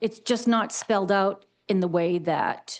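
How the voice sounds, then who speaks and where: A woman's medium-pitched voice with lively intonation against a quiet background. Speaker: town planner advising planning board. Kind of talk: public board meeting discussion. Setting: town planning board meeting. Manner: informal, conversational.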